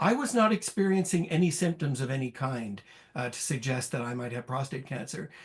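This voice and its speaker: A man's fairly high, somewhat breathy voice moves at a fairly quick pace with lively intonation. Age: 60s. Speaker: prostate cancer patient. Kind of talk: personal testimony. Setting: video call. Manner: halting, many fillers.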